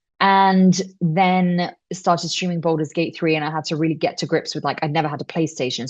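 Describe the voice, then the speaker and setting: A woman with a British accent speaks at a fairly quick pace in a fairly low pitch, with ordinary pitch variation over a quiet background. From UK. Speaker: voice actor. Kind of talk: interview answer. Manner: casual, chatty.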